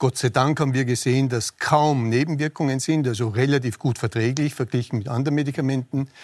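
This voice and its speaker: A man with an unremarkable speaking voice at medium pitch, a fairly quick pace with hardly any pauses, dry and close with no echo, on a very clean recording with a silent background. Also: fairly even intonation. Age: 60s. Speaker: infectious disease specialist. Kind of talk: TV panel debate.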